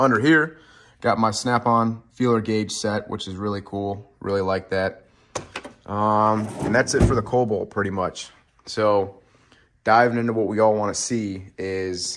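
An ordinary speaking voice moves at a fairly slow pace. The intonation stays fairly even. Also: man, fairly low pitch for a man. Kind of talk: casual vlog chat, tool tour. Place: garage. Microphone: phone near.

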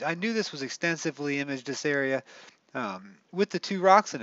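At a fairly quick pace, a man talks with a dry sound and no echo. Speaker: space image channel host. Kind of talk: commentary. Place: home room.

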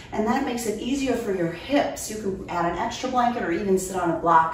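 Over light background noise and audible room echo, a woman talks at a fairly quick pace. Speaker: yoga instructor. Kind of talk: tutorial. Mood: calm, soothing. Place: home room.

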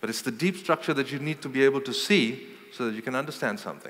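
Lively intonation marks a man talking at a fairly quick pace. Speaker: keynote speaker. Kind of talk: lecture. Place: hall. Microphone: headset.

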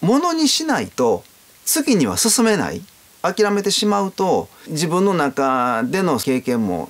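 Very wide pitch swings mark speech delivered at a fairly slow pace. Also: man. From Japan. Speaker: gold leaf craftsman. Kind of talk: interview. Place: home room.

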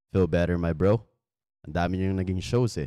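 Very deep and low, the man's voice has a dark, mellow tone and fairly even intonation. The sound is dry with no echo, and the background is quiet. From Philippines. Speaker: podcast host promoting barber booking app. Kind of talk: casual interview chat. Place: shop.

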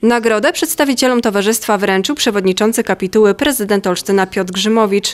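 Very fast talk with hardly any pauses and ordinary pitch variation, on a very clean recording with a silent background. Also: woman. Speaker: news reporter. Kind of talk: news report narration.

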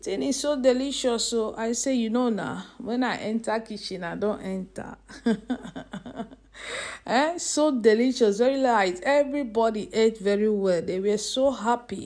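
Moderately paced female speech, ordinary in pitch variation, against a quiet background. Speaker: home cook vlogger. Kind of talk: casual cooking vlog chat. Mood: cheerful, laughing. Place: kitchen. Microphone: phone near.

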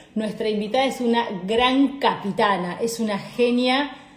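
Light background noise and audible room echo around a woman's voice. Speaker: live show host. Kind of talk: casual live stream chat. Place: kitchen. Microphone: phone near.

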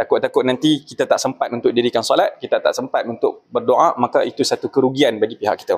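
A man is speaking. His pace is fairly quick. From Malaysia. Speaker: religious affairs officer for pilgrims. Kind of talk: news interview; interview answer. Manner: many hesitations (uh). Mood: calm, advisory. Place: hall. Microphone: handheld.

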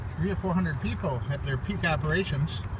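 A man talks at a fairly quick pace in a dry sound with no echo, with noticeable noise in the background. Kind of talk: casual tour commentary. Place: open country. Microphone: phone near.

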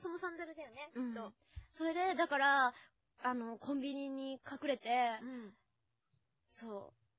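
In a dry setting with no echo, a woman projects her raised voice at a high pitch. Her intonation is lively and her pace moderate. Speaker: voice actress and radio host; voice actress, radio host. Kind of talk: casual radio talk, chatty banter. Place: studio. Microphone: studio mic.

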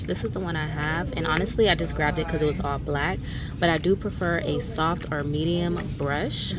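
A woman speaks at a moderate pace. Loud background noise runs under her voice. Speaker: vlogger. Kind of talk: casual vlog chat. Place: shop. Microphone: phone near.

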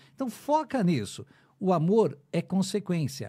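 At a moderate pace, a man with a dark, mellow, somewhat breathy voice speaks with very wide pitch swings against a quiet background. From Brazil. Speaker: radio announcer. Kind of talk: casual chat. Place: studio. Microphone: studio mic.

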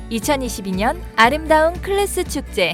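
A woman's fairly slow speech is accompanied by background music. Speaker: voice actor. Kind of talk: festival announcement read.

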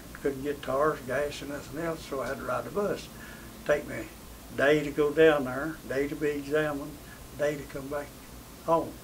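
In a Southern Appalachian accent, a man speaks at a fairly high pitch with monotone, flat intonation over light background noise. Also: moderate pace. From Tennessee, USA. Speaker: WWII veteran. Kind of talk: interview answer. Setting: interview setting.

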